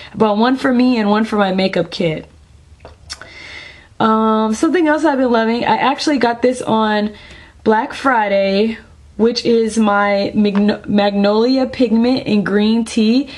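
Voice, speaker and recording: A woman with an ordinary speaking voice, a fairly high pitch and ordinary pitch variation. She speaks at a fairly slow pace with very even loudness. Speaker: beauty vlogger. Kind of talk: product review vlog. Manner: casual with many fillers.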